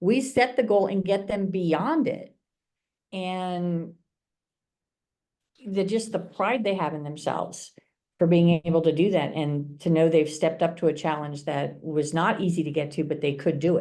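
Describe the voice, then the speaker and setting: Dark and mellow in tone, a woman's voice sits at a fairly low pitch. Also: ordinary pitch variation, moderate pace. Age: 50s. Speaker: martial arts master instructor. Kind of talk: casual chat.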